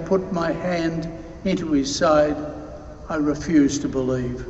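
A man speaks at a fairly slow pace with ordinary pitch variation, with audible room echo and light background noise. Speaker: deacon or priest reading the gospel. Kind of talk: gospel reading at mass. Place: church. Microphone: podium.

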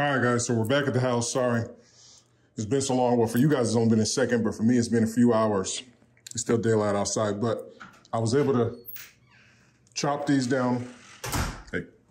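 A man with an American accent talks at a fairly quick pace and medium pitch, his intonation monotone and flat. Long, frequent pauses break his speech amid audible room echo. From upstate New York. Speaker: YouTuber and custom apparel business owner. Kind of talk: vlog.

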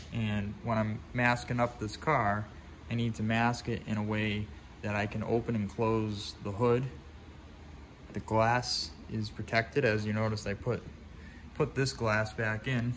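Long, frequent pauses break up a man's fairly slow speech. His intonation is fairly even, with light background noise. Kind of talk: tutorial. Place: workshop. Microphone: phone near.

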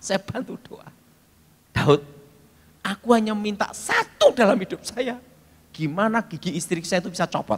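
Animated in tone, a man with a high voice talks at a moderate pace with ordinary pitch variation, big swings in loudness, and long, frequent pauses. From Indonesia. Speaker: preacher. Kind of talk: sermon with audience call-and-response. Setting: talkshow, studio with audience. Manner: humorous, storytelling. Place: church. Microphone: handheld.

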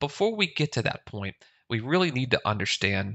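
The background stays quiet as the words come at a moderate pace. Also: man. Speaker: instructor. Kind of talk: tutorial. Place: home room.

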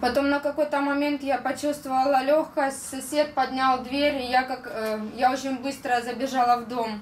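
The speaker keeps a moderate pace with hardly any pauses and monotone, flat intonation, amid light background noise and audible room echo. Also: woman, high pitch for a woman. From Donbas, eastern Ukraine; Ukraine. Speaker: war victim giving testimony. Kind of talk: testimony talk through interpreter. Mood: grave, emotional retelling. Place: meeting room.

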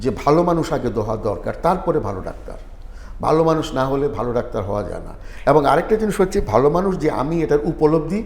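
Audible room echo carries a man's fairly high-pitched voice, with lively intonation and vocal fry. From Sylhet, Bangladesh. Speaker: retired medical professor and writer. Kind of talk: interview.

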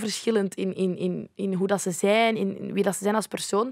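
A woman speaks at a medium pitch and a fairly slow pace with fairly even intonation. The sound is dry with no echo, and the background is quiet. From Flanders, Belgium (Leuven); Flanders, Belgium. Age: 20s. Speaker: youth ambassador; podcast guest. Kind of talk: casual chat. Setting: studio. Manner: halting. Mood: reflective, personal, open. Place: studio. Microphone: studio mic.

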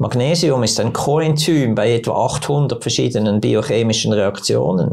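A man's voice with vocal fry and very wide pitch swings. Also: quiet background. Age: 70s. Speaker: doctor. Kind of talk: casual interview. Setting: studio. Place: studio. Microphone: lapel.

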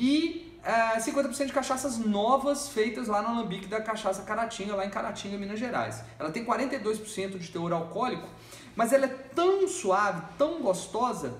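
Audible room echo around a man talking at a fairly slow pace. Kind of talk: tasting review talk. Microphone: phone near.

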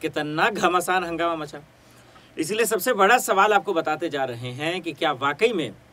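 A man talks at a high pitch with ordinary pitch variation. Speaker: news presenter. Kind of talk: news commentary. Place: studio.

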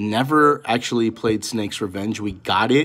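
Speaking at a moderate pace, the man has a fairly low pitch. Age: 30s. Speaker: gaming YouTuber; gaming channel host. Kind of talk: casual vlog talk to camera. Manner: halting, many fillers. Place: home room. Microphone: phone near.

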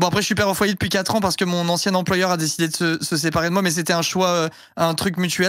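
The speech races along at a very fast pace in a flat monotone. The sound is dry with no echo, over a quiet background. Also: man. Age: 30s. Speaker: streamer. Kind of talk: casual chat. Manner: playful. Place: home room. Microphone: headset.

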